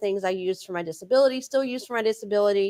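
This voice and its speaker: A woman with an American accent talks at a very fast pace, at medium pitch with ordinary pitch variation, on a very clean recording with a silent background. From Texas. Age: 40s. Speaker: faith-based author and speaker. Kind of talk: interview. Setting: live show with chat.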